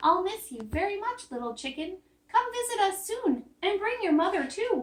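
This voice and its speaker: Putting on a squeaky character voice, a woman speaks at a moderate pace with an extremely high pitch. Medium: read story.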